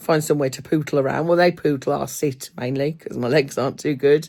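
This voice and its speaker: At a moderate pace, a woman with an English Midlands accent speaks in a very deep, low pitch. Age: 50s. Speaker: booktuber. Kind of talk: casual chat. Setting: at home. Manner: halting.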